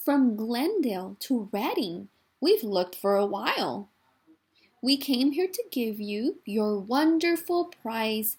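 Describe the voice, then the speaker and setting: A woman speaks fairly slowly in a put-on character voice. Her pitch sits fairly high. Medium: read story. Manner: friendly, cheerful.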